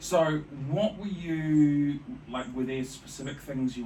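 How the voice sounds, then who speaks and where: A man talks very slowly with a New Zealand accent over noticeable background noise. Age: 40s. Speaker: podcast host. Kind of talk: interview.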